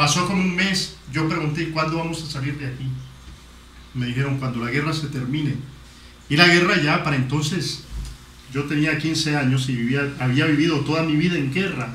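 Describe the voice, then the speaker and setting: Noticeable background noise and audible room echo surround a man's fairly high voice. He keeps a moderate pace and fairly even intonation, with long, frequent pauses. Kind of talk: testimony.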